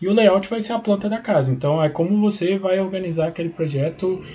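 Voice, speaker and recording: Music in the background behind a man's fairly quick speech with ordinary pitch variation. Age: 20s. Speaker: engineering student. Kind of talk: casual interview. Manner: hesitant, many fillers.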